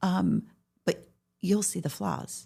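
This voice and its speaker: On a very clean recording with a silent background, a woman speaks with vocal fry and very wide pitch swings. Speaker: podcast host. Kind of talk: interview conversation. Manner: stutters at times.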